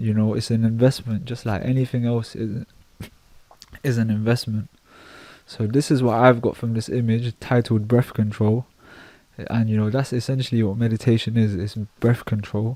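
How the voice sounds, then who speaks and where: Medium-pitched man with a dark, mellow tone, monotone, flat intonation, and long, frequent pauses. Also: moderate pace. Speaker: art reaction youtuber. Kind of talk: casual reaction commentary.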